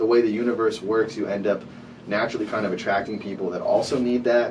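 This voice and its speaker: A man at medium pitch talks at a very fast pace in a monotone, flat intonation. The recording has audible room echo and noticeable background noise. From Rhode Island, Providence. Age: 20s. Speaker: artist, producer and CBD business owner. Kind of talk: podcast interview.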